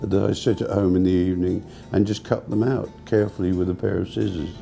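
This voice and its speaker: There is music in the background. Over it, a man talks at a very deep, low pitch. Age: 70s. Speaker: pop artist, painter. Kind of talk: interview answer. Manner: hesitant, repeats words.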